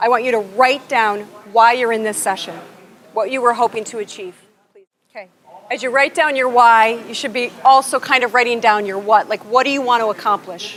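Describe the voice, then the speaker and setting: A woman with an American accent talks at a fairly quick pace and a fairly high pitch. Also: fairly even intonation. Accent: Buffalo accent, comes out at times. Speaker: business consultant and workshop presenter. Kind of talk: workshop presentation. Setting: conference session with live audience, attendees on headphones. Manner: conversational, interactive.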